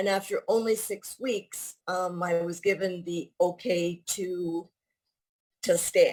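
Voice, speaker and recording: A woman talks at a medium pitch in a Canadian accent. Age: 60s. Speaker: retired teacher, fitness program member. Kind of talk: testimonial interview. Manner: halting, with fillers and restarts.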